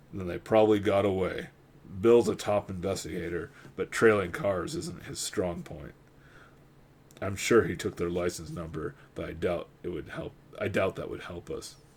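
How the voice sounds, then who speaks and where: A put-on character voice, rumbling and raspy, at a moderate pace. The intonation is lively, and the loudness swings widely. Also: man, fairly low pitch for a man. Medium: read story. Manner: gruff, skeptical.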